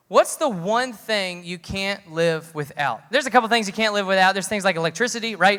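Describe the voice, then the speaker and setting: The delivery is animated and fairly quick, with hardly any pauses. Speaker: youth pastor. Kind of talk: sermon. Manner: fast.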